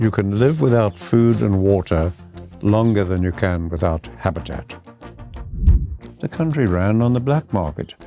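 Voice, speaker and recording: Over background music, a man with a fairly low pitch speaks at a moderate pace, his pitch swinging very widely, with long, frequent pauses. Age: 80s+. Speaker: biologist, farmer, holistic management pioneer. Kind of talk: interview answer. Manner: patient, stern, fatherly.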